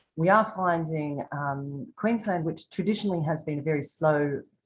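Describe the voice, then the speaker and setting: A woman with an Australian accent speaks at a fairly slow pace, her pitch very deep and low. Her pitch variation is ordinary, and the background is quiet. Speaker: tour guide. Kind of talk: virtual tour presentation. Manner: soft-spoken.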